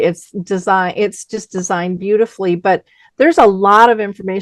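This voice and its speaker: A woman with an ordinary speaking voice, medium pitch and ordinary pitch variation, in a quiet background with a dry, close sound and no echo. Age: 60s. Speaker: radio host. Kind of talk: interview.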